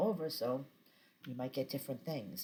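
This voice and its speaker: In a Boston accent, the speaker talks at a moderate pace with lively intonation. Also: woman. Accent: thick Boston. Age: 50s. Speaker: vlogger. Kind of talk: casual chat. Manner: many filler words (um).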